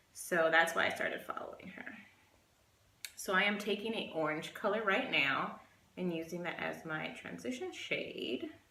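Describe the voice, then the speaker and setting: A woman at a moderate pace, with audible room echo. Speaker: beauty vlogger. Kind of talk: casual chat. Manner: halting.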